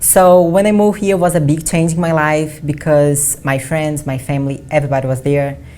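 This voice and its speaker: With a Portuguese accent, a woman speaks at a fairly quick pace in a very deep, low pitch and a dark, mellow tone, with audible room echo. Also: ordinary pitch variation, hardly any pauses. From Brazil. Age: 20s. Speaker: bodybuilding athlete. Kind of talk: interview. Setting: studio.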